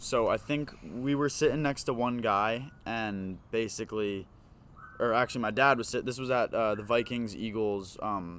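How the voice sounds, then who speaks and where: Here a man speaks in a slight Philadelphia accent at medium pitch. His pace is moderate and his pitch variation ordinary. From Philadelphia, US. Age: young. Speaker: podcast guest, incoming college student. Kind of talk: casual chat.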